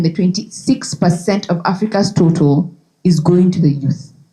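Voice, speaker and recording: A woman's fairly low, somewhat breathy voice with a dark, mellow tone at a fairly slow pace. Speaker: conference speaker. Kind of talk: presentation. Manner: animated.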